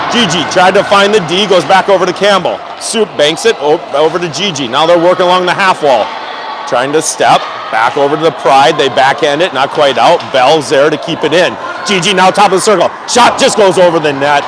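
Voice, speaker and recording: Speaking at a fairly quick pace, a man has a high pitch with ordinary pitch variation. Noticeable background noise can be heard. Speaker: amateur hockey play-by-play commentator. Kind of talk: live commentary. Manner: loud.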